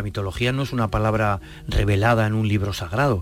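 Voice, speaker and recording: Music plays in the background as a man speaks at a fairly quick pace. His pitch is fairly low, and his intonation is fairly even. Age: 60s. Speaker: classics professor and author. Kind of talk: interview.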